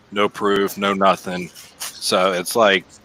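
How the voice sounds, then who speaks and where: A man's fairly low, monotone voice with flat intonation and noticeable background noise. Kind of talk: casual chat. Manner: loud.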